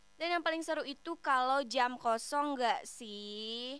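A woman's high, bright, sharp voice, raised and projected, at a fairly slow pace with ordinary pitch variation. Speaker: radio host. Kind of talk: casual radio presenting. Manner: animated.

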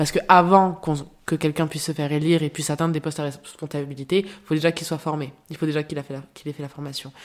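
On a very clean recording with a silent background, a woman speaks very fast in a very deep, low pitch with monotone, flat intonation. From France, Marseille. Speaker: association public relations director. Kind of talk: interview. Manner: hesitant, frequent repetitions.

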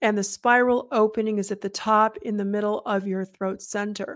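A woman with a normal speaking voice talks at a moderate pace in a fairly high pitch with fairly even intonation. The recording is very clean, with a silent background. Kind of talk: guided meditation. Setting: solo recording, addressing listeners. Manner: calm, instructive, channeling tone.

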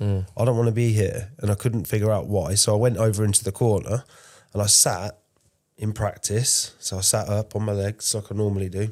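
A man with a plain, everyday voice, fairly low pitch, fairly even intonation and fairly quick pace, on a very clean recording with a silent background. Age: 30s. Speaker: podcast co-host. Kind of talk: casual chat.

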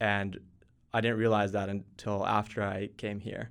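A man with an American accent has a fairly low pitch. His intonation is monotone and flat. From Texas. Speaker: startup co-founder. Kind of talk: interview.

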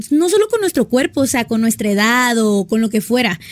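At a fairly quick pace, a woman speaks in a fairly high, somewhat breathy voice. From Sonora, northern Mexico. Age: 20s. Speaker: fashion influencer. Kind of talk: casual chat.

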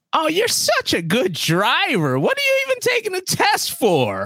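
A put-on character voice at a moderate pace

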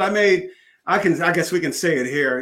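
With an American accent, a man speaks in a high pitch with a bright, sharp tone, lively intonation and a moderate pace. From US Northeast. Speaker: sales trainer and speaker. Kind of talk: casual interview. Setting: video call. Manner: halting.

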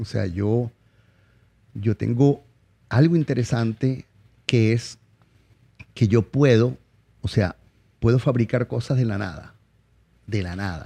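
In a Zulian accent, a man speaks very slowly with long, frequent pauses, his medium-pitched, dark and mellow voice showing ordinary pitch variation in a dry, close sound with no echo. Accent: Venezuelan Zulian (maracucho) Spanish. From Venezuela, Maracaibo (Zulia). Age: 50s. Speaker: chef. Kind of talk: casual interview. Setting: studio.

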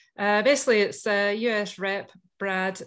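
A woman speaks with a Scottish accent. Her intonation is fairly even. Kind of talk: casual chat. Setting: video call.

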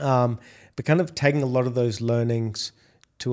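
An Australian accent marks this man's speech, with a medium pitch and a moderate pace. His intonation is fairly even, and the recording is very clean with a silent background. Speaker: food delivery executive. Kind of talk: interview.

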